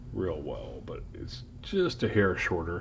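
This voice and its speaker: A man speaks at a very slow pace, and audible room echo surrounds his voice. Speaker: locksport hobbyist youtuber. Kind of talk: casual show-and-tell tutorial. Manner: hesitant, many ums and uhs.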